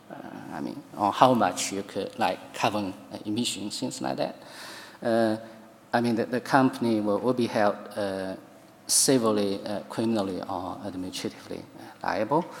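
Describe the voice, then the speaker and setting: In a Chinese accent, a man speaks at a moderate pace and a fairly low pitch, with ordinary pitch variation. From China. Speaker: law professor. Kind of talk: conference talk. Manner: halting, many fillers.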